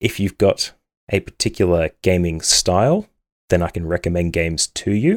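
A man with an Australian accent and lively intonation, in a dry, close sound with no echo on a very clean recording with a silent background. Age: 30s. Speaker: gaming podcast host. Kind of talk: solo podcast monologue.

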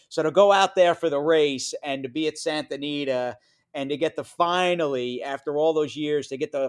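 In an American accent, a man with an ordinary speaking voice speaks at a moderate pace with fairly even intonation. The recording is very clean, dry and close with no echo and a silent background. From New York. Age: 40s. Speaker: horse racing broadcaster. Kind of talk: casual interview chat.

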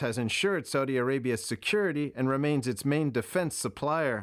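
Lively intonation and a fairly quick pace mark a plain, everyday voice in a very clean recording with a silent background. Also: man. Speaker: news reporter. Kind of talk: news reading.

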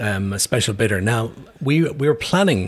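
Somewhat breathy, this man's voice sits at a medium pitch and shows ordinary pitch variation. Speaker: brewery owner. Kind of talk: casual interview. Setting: in a pub.

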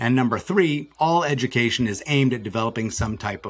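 This man has a normal speaking voice, medium in pitch with ordinary pitch variation, and he talks at a fairly quick pace. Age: 50s. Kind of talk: podcast interview.

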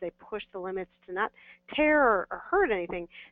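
A woman talks at a fairly quick pace and medium pitch. It is an ordinary speaking voice. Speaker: veterinarian. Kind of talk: expert Q&A on live webinar. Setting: phone call.

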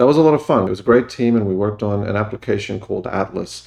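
Against a quiet background, a man with an Australian accent talks at a fairly low pitch. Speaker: engineering manager. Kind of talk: interview.

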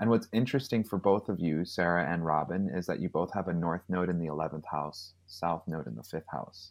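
There is a man talking. He speaks neither fast nor slow, at a moderate pace. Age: 30s. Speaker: astrologer and healer. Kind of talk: casual chat.

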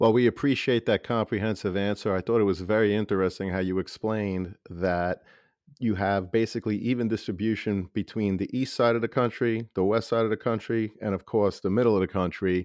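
A man speaks at a fairly quick pace in a normal speaking voice, his pitch fairly low and his intonation fairly even. The sound is dry and close with no echo, over a quiet background. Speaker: podcast host and high school principal. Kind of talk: interview.

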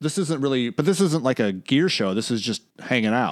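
In a very clean recording with a silent background, a man's voice moves through very wide pitch swings. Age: 40s. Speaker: podcast co-host. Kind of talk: casual chat. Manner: halting.

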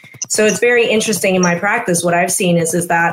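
A woman with a fairly low pitch speaks in a fairly even tone. There is noticeable background noise. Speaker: integrative physician, podcast host. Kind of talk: educational interview. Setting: video broadcast.

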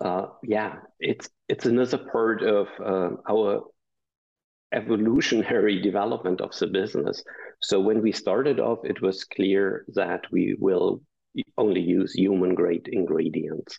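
Speaking at a fairly slow pace with a German accent, a man keeps his loudness very even. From Germany. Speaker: business founder. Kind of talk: interview. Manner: hesitant, many fillers.

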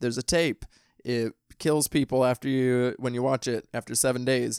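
With a Midwestern US accent, a man speaks at a moderate pace and medium pitch with ordinary pitch variation, recorded dry and close with no echo in a very clean recording over a silent background. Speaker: podcast host, horror film reviewer. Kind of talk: casual chat; scripted outro.

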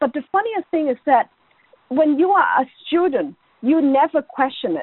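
This woman speaks in an Irish accent. Her pitch swings very widely. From Ireland. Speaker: education academic. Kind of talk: interview.

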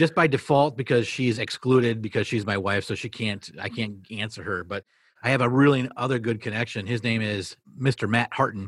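In an ordinary speaking voice, a man talks at a fairly quick pace with a medium pitch and ordinary pitch variation. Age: 40s. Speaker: school principal. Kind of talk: interview conversation.

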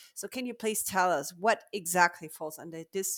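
A woman speaks with a German accent at a fairly slow pace. Her pitch is medium with ordinary variation. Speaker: podcast host. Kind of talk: interview.

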